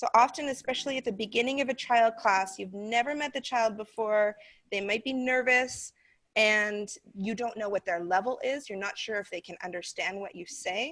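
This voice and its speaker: In an unremarkable speaking voice, a woman with an American accent talks at a moderate pace with a fairly high pitch, ordinary pitch variation and big swings in loudness, on a very clean recording with a silent background. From North America. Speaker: online English teacher trainer. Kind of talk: training session.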